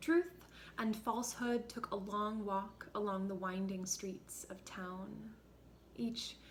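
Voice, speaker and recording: A very slow pace and fairly even intonation amid noticeable background noise. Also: woman. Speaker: actor. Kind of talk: staged literary reading.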